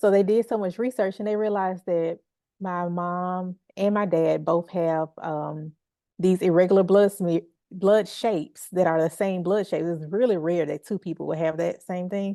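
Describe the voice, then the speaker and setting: A woman speaks at a moderate pace in a Southern US accent, her pitch medium and her tone dark and mellow. Her intonation is fairly even, and the sound is dry and close with no echo over a quiet background. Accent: Southern twang. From Memphis, Tennessee. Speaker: healing artist. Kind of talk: interview conversation.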